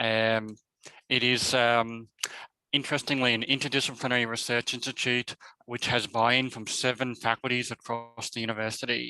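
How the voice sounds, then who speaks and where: A man speaks in an Australian accent at a fairly quick pace. His medium-pitched voice has a bright, sharp tone and monotone, flat intonation. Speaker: professor. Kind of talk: webinar presentation. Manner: halting, many fillers.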